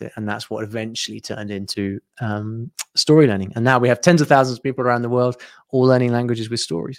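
A man with a British accent at a very fast pace, with ordinary pitch variation. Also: very clean recording, silent background. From UK. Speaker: online business founder, language teaching. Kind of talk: interview, casual conversation. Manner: hesitant, repeats words.

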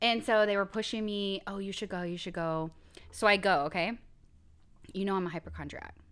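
In a very clean recording with a silent background, a woman at medium pitch speaks very fast in an animated tone with ordinary pitch variation. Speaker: podcast co-host. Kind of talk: casual chat.

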